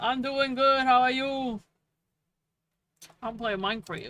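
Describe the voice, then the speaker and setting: This woman's voice has a bright, sharp tone. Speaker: VTuber gaming streamer. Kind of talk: casual live-stream chat while gaming. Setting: live stream. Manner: animated.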